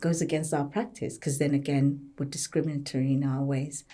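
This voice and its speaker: A woman talks at a moderate pace in a Zimbabwean accent. Her pitch is very deep and low, and her tone is dark and mellow. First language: a Zimbabwean language. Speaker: occupational therapist and health service leader. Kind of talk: podcast panel discussion.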